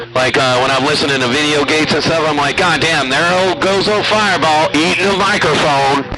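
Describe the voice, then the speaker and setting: A man's fairly high-pitched voice at a fairly quick pace, ordinary in pitch variation, with audible room echo and music in the background. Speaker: CB radio operator. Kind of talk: CB radio chat. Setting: CB radio. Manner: loud.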